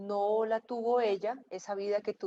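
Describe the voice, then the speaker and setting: In a dry, close sound with no echo and a quiet background, a woman speaks at a moderate pace with a medium pitch in monotone, flat intonation. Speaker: interviewer. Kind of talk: interview. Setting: video call.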